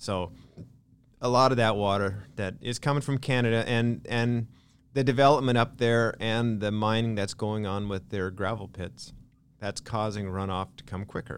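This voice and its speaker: A man speaks in an ordinary speaking voice at a moderate pace, his intonation fairly even. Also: medium pitch for a man. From Lynden, Washington, US Pacific Northwest. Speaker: small-town mayor. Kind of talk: casual interview chat.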